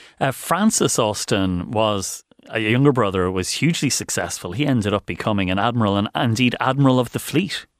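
The speaker has an Irish accent and moves at a fairly quick pace with hardly any pauses and ordinary pitch variation. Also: man, medium pitch for a man. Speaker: radio host. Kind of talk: radio interview.

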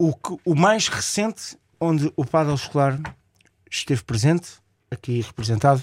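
At a moderate pace, a man speaks with lively intonation and long, frequent pauses in a dry, close sound with no echo. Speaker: radio co-host, padel promoter. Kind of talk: radio interview. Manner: halting, many fillers.

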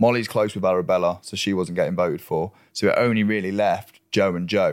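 Speaking with an English accent, a man talks at a fairly quick pace in a fairly low pitch. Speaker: reality TV contestant. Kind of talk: casual chat. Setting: studio. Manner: loud.

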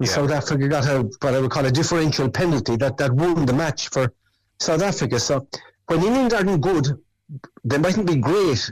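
The speaker talks in a Cork accent at a moderate pace. The intonation is lively. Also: man. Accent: Cork Irish. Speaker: former rugby player. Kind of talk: interview chat.

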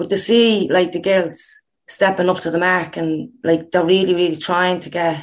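In an Irish accent, a woman talks at a moderate pace in a fairly low pitch with monotone, flat intonation. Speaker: former international footballer, coach. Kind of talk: interview.

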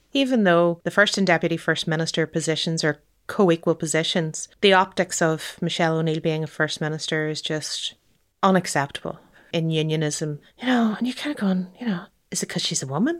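Someone speaks with a Northern Irish accent at a moderate pace with ordinary pitch variation. The recording is very clean with a silent background. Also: woman. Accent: Derry, Northern Irish. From Northern Ireland, Derry. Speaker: journalist and lawyer. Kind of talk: interview. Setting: in person at guest's home.

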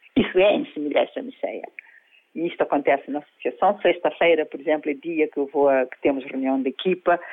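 With an unremarkable speaking voice, a woman talks rather quickly in a fairly low pitch that varies in an ordinary way. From Cape Verde. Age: 50s. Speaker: life coach. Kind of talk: interview.

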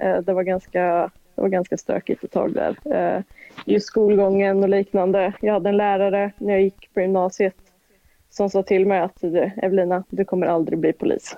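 A woman talks at a moderate pace with flat, monotone intonation. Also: medium pitch for a woman. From Dalsland, western Sweden. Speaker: police officer. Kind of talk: casual interview.

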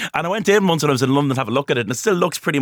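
The speaker uses lively intonation with a Dublin accent. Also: man. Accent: Dublin Irish. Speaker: historian. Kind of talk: radio interview. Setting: studio.

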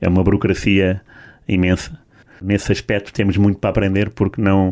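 A man's dark, mellow tone at a fairly low pitch and moderate pace, on a very clean recording with a silent background. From Portugal, Lisbon area. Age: 40s. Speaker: sports journalist. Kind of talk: casual chat.

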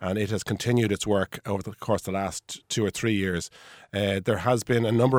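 A man with an Irish accent speaks at a fairly quick pace in a fairly low voice, his intonation fairly even, on a very clean recording with a silent background and a dry, close sound with no echo. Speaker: personal injury solicitor. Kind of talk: radio panel discussion. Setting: studio.

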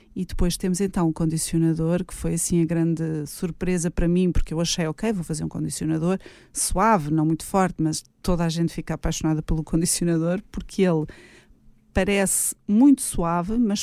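A woman speaks at a fairly quick pace with a dark, mellow tone, her fairly low pitch held in fairly even intonation on a very clean recording with a silent background. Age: 40s. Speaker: hairdresser and cosmetics entrepreneur. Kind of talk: radio interview. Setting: radio studio.

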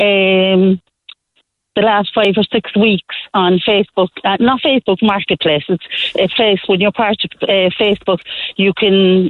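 The speaker has a Cork accent. The pace is moderate. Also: woman. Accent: Cork Irish. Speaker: caller. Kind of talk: phone-in call. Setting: phone call from car.

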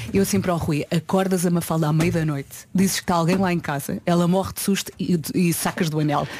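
Very fast speech from a woman, fairly low in pitch, with fairly even intonation. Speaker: morning radio co-host. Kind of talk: casual chat. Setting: radio studio.

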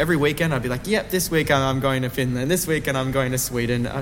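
Over noticeable background noise, a man with an Australian accent talks very fast with ordinary pitch variation. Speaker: singer, song contest entrant. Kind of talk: interview.

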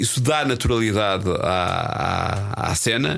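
Lively intonation marks this man's speech, which has vocal fry. His pitch sits in the medium range. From northern Portugal, Espinho. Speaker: film journalist. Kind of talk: casual chat.

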